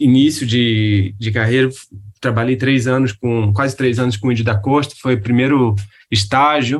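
The speech moves at a fairly slow pace. Its intonation stays fairly even. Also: man. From Rio de Janeiro, Brazil. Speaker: architect and urban planner. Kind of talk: casual interview. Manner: halting, many fillers.

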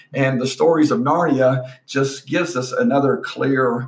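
An ordinary speaking voice from a man, fairly high in pitch, with lively intonation and a fairly slow pace. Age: 50s. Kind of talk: casual chat.

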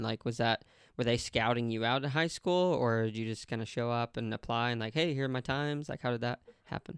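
A man with a normal speaking voice talks at a fairly quick pace in a medium pitch with fairly even intonation, the sound dry and close with no echo. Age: 30s. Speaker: podcast host. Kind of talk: casual interview chat.

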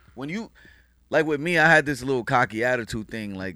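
A man with a New York accent talks at a very fast pace and medium pitch. His tone is bright and sharp, in a very clean recording with a silent background. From Queens, New York, Haitian family. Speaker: music producer and engineer. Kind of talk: casual chat.

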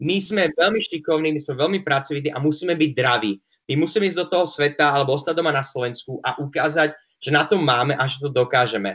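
Very fast and fairly high in pitch, a man's voice moves with ordinary pitch variation. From Slovakia, Prešov. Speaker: bartender and barista. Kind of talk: interview. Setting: remote call.

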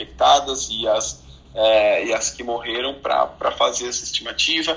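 Noticeable background noise behind a man's fairly slow delivery. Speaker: physician. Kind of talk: casual chat. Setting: Clubhouse audio room.

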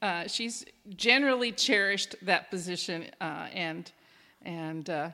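A woman talks with lively intonation. Behind her, music is playing. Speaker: podcast host and life coach. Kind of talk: casual chat. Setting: recorded over coffee.

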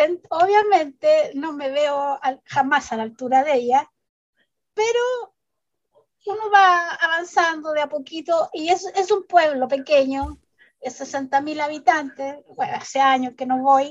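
A woman with a high pitch talks at a very slow pace, her intonation lively. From Chile, Vallenar. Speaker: children's author. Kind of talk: interview.

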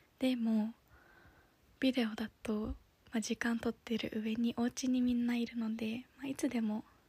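A woman with a fairly high pitch and a dark, mellow tone speaks at a fairly slow pace in a monotone, flat intonation, with a dry, close sound and no echo. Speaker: podcaster and office worker. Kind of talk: casual solo podcast monologue. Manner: halting.

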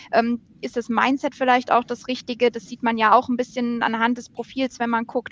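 This woman has a fairly high pitch and a monotone, flat intonation. Her voice sounds dry and close, without any echo. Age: 30s. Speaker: recruiting lead. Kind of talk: casual chat. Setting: video call from home office.

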